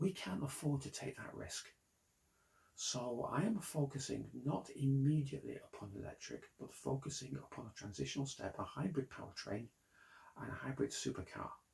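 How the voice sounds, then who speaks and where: A man with a British accent speaks at a moderate pace and a fairly high pitch, with vocal fry. His intonation is lively, and his loudness swings widely. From Britain. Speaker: car designer and company founder. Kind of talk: investor pitch monologue.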